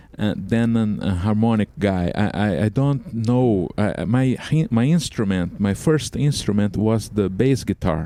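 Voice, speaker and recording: A man's fairly low, dark, mellow voice with lively intonation and very even loudness, at a fairly slow pace with hardly any pauses. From Brazil. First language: Portuguese. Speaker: microtonal composer and musician. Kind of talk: interview. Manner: halting, many fillers and repeats.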